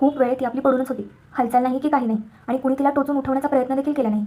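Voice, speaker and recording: A woman's high-pitched, monotone voice with flat intonation, over noticeable background noise. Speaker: storyteller. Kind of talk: reading aloud.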